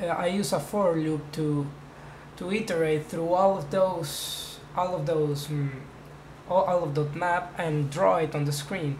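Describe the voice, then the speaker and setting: A voice with a non-native accent talks at a fairly slow pace. Audible room echo and noticeable background noise come through. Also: man. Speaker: hobbyist programmer. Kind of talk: tutorial. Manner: halting.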